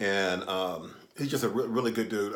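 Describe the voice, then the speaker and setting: A man at a moderate pace, with audible room echo. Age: 60s. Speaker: YouTube commentator and author. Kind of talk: casual storytelling monologue. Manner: halting, many fillers.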